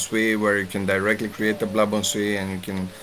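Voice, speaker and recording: Noticeable background noise runs under this recording. The man's intonation is monotone and flat. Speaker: blockchain developer presenter. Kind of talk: technical presentation.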